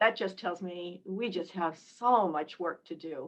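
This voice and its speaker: This woman has an unremarkable speaking voice at medium pitch. She talks at a fairly slow pace. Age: 60s. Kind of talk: group discussion.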